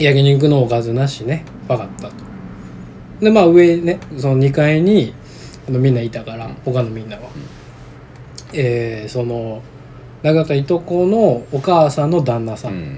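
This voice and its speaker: A man with a Kansai accent, lively intonation and long, frequent pauses, over noticeable background noise. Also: medium pitch for a man, moderate pace, big swings in loudness. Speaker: podcast co-host. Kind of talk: casual chat.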